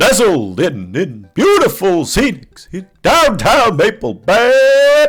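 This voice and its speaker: Very slow, high-pitched delivery from a man in a put-on character voice. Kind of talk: promotional ad voice. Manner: cheesy, over-the-top salesy.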